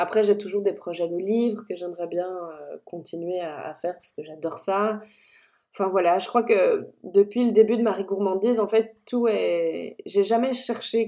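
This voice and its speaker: A woman with a medium pitch and a dark, mellow tone, at a fairly slow pace, with big swings in loudness. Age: 30s. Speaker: food blogger and culinary photographer. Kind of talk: interview. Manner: animated.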